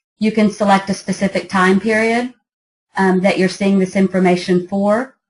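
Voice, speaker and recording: The voice is somewhat breathy with a monotone, flat intonation. Its loudness stays very even. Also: woman, medium pitch for a woman, moderate pace. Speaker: app founder giving a product demo. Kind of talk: product demo presentation.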